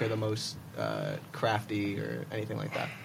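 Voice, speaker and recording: There is noticeable background noise. Through it, a man talks in an American accent. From Manhattan, New York. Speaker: student podcast co-host. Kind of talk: casual chat.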